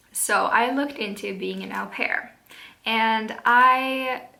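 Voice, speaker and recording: With a Swedish accent, a woman speaks at a fairly high pitch in a room with audible echo. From Sweden. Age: 20s. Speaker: vlogger. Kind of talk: casual vlog talk. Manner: hesitant, many fillers.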